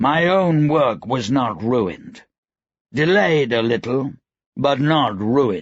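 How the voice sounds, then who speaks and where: A fairly slow, medium-pitched put-on character voice from a man. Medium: read story. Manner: gentle, calm.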